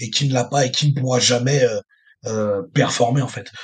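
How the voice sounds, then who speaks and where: The voice sounds somewhat breathy, with ordinary pitch variation. It moves at a fairly quick pace. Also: man. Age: 30s. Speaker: strongman athlete. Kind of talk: casual interview. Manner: halting, many fillers and repetitions.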